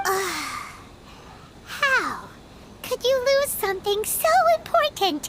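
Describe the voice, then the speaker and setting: An extremely high-pitched put-on character voice moves at a very slow pace with long, frequent pauses over light background noise. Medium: video game. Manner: bright, inquisitive.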